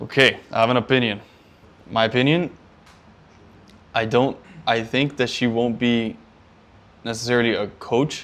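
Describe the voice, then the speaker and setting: A man of medium pitch speaks at a moderate pace with fairly even intonation and long, frequent pauses. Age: 20s. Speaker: founder of a soccer training business. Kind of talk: casual business meeting talk.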